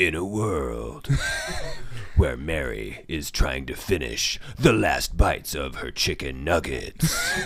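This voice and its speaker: A put-on character voice from a man, very deep and low, at a fairly slow pace. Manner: dramatic, deep.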